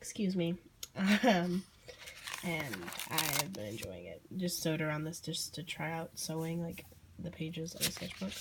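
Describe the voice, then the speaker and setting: A woman's fairly low voice with a Southern US accent, ordinary pitch variation, a moderate pace, long and frequent pauses, and noticeable background noise. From Southern United States. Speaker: artist. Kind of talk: casual talk to camera.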